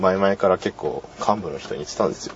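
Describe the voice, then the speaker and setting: A man speaks at a fairly quick pace in a fairly low pitch, with noticeable background noise. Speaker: university club radio host. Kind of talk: casual solo talk. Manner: halting.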